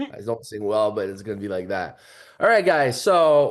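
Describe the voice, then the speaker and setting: Against a quiet background, a man speaks with a Quebec accent at a fairly high pitch. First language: French. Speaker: financial services agent. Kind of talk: training presentation. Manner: halting.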